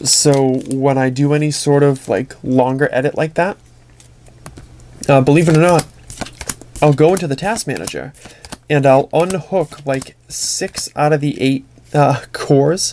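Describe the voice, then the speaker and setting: The speech moves at a fairly slow pace with long, frequent pauses, against noticeable background noise. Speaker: YouTuber opening trading card packs. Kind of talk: casual pack-opening commentary.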